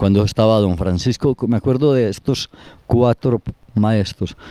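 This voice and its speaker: A man with an Antioquian accent speaks in a fairly low pitch with a dark, mellow tone and fairly even intonation, in a dry, close recording with no echo. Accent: Colombian paisa (Antioquia) Spanish. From Colombia, Antioquia (Granada). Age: 70s. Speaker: elderly local resident interviewed about town history. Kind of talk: interview, reminiscing.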